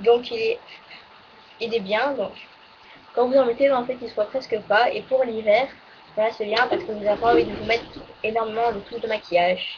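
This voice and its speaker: Over light background noise, a woman with a fairly high pitch talks at a moderate pace with ordinary pitch variation. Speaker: beauty vlogger. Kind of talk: casual monthly favourites video. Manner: halting, full of fillers. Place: home room. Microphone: webcam.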